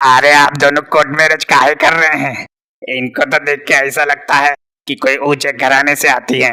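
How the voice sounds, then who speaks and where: A cartoonish character voice from a man, fairly high in pitch, with monotone, flat intonation at a moderate pace. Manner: rustic, sarcastic, prying.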